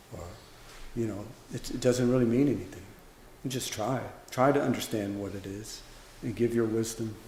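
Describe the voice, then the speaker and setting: A man with an American accent speaks in a relaxed tone at a fairly quick pace, leaving long, frequent pauses, his medium pitch following fairly even intonation. His loudness swings widely, with noticeable background noise and audible room echo. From US South, Louisiana. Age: 50s. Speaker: Zen monk and teacher. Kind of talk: dharma talk Q&A. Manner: relaxed, conversational.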